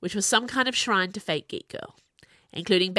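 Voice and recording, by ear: A natural voice reading aloud, pitch varying in an ordinary way, background quiet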